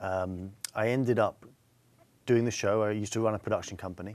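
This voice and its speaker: In a very clean recording with a silent background, a man speaks with an English accent. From England. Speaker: TV presenter and author. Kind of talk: interview. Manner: halting, repeats words.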